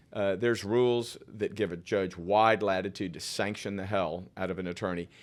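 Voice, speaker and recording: A man with a plain, everyday voice speaks at a fairly low pitch and a moderate pace, his intonation fairly even. The recording is very clean, with a silent background. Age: 60s. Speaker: political candidate and lawyer. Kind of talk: podcast interview. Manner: casual, with many fillers and restarts.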